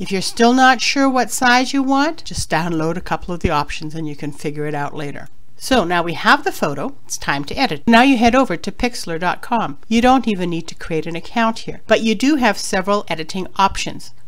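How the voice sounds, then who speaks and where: With noticeable background noise behind her, a woman talks fairly quickly at a medium pitch, hardly pausing and swinging very widely in pitch. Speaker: online business blogger. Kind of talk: tutorial. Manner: fast.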